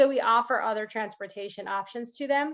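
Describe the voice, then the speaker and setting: Ordinary pitch variation at a fairly quick pace. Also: woman. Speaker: school district program presenter. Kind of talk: presentation to parent group. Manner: fast.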